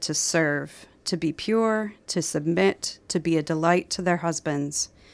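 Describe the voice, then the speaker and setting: On a very clean recording with a silent background, a woman speaks with a Midwestern American accent in a dry, close sound with no echo. Her fairly low pitch shows ordinary variation at a fairly slow pace. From Minnesota, US Midwest. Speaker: novelist. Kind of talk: radio interview about her book.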